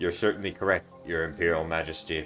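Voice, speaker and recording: Over clear background noise, a man in a put-on character voice talks at a very fast pace with a very deep, low pitch. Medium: game stream. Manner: smooth, hiding mockery.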